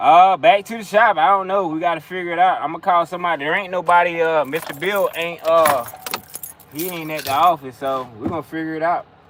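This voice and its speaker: Speaking at a fairly quick pace with a Carolinas accent, a man with a high pitch keeps his intonation fairly even over noticeable background noise. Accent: US Southern (Carolinas). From the Carolinas (Whiteville, NC / Conway, SC area). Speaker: mechanic and livestreamer. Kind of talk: casual chat.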